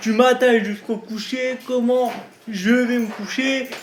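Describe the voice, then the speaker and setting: A man talks at an extremely high pitch in a monotone, flat intonation. His pace is fairly slow, and there is noticeable background noise. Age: 20s. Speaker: YouTuber, wheelchair user. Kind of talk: casual vlog. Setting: at home, bedroom. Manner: casual, hesitant.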